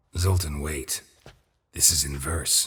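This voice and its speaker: A man puts on a raspy character voice at a very deep, low pitch. The tone is deadpan. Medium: video game. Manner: deadpan, low-key, terse.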